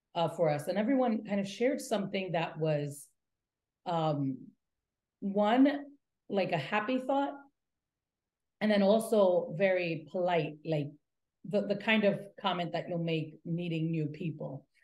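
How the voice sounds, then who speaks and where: With audible room echo around her, a woman talks in a somewhat breathy voice at a fairly slow pace, using lively intonation and long, frequent pauses. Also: medium pitch for a woman. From Latin America, raised in the US from infancy. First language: Spanish. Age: 30s. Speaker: nonprofit executive director. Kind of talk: interview. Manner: halting, with many fillers and repetitions.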